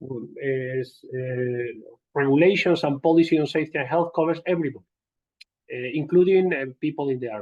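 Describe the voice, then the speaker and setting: A Spanish accent colors the speech. It moves along at a moderate pace. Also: man. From Spain. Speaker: occupational safety and health trainer. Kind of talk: lecture. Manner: halting, many fillers.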